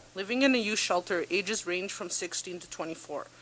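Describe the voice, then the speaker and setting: Someone with a Canadian accent talks at a fairly quick pace in a plain, everyday voice. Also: woman. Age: 20s. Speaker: peer worker. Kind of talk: prepared testimony. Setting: parliamentary committee hearing. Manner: formal.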